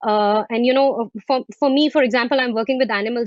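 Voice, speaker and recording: At a fairly quick pace, a woman with an Indian accent speaks in a high pitch with ordinary pitch variation. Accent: Indian accent, intact. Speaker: fine art photographer. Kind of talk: video panel interview.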